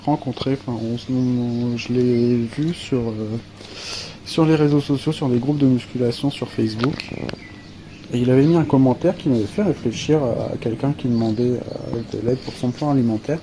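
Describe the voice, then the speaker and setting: Over noticeable background noise, a man speaks at a medium pitch and moderate pace with fairly even intonation. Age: 30s. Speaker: coaching client. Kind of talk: testimony. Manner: hesitant, many fillers.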